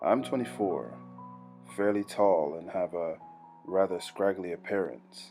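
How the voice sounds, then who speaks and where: A man talks in a very deep, low pitch. Music can be heard in the background. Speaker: creepypasta narrator. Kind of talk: horror story narration.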